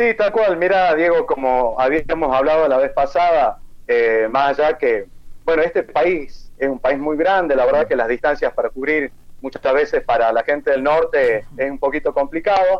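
At a moderate pace, a man talks in a plain, everyday voice. His pitch is fairly high. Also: ordinary pitch variation. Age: 40s. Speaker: physical education teacher. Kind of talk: interview.

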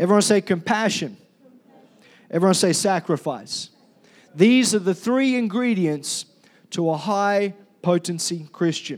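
A loud man with a high pitch and ordinary pitch variation, at a fairly slow pace with long, frequent pauses, in a very clean recording with a silent background. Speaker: pastor. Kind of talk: sermon. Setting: church.

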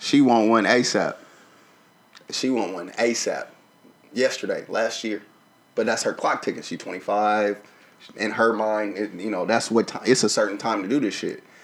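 The speaker has a Southern US accent and talks at a moderate pace with long, frequent pauses. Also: man, fairly low pitch for a man. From Arkansas. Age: 30s. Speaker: podcast co-host. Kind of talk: casual chat. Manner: animated.

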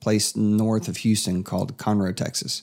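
A man with a medium-pitched voice and normal pitch movement is heard on a very clean recording against a silent background. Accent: Appalachian Tennessee. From East Tennessee. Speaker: podcast host. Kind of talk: casual chat.

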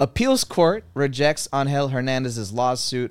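With a normal speaking voice, a man talks at a moderate pace with ordinary pitch variation in a dry, close sound with no echo. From Cuban-American family. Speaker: podcast co-host. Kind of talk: reading news headlines; casual chat.

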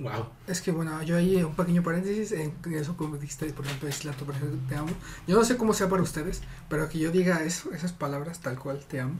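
This voice talks at a very fast pace over noticeable background noise. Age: 20s. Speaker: podcast guest. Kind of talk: casual chat.

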